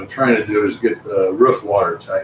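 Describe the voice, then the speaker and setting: A man is talking here. He keeps a moderate pace. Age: 60s. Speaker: amateur astronomer and builder. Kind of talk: live stream chat.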